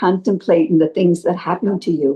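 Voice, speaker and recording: With an American accent, a woman talks at a fairly slow pace in a dark, mellow tone that is somewhat breathy. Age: 80s+. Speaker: spiritual devotee sharing experiences. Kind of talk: testimony. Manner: halting.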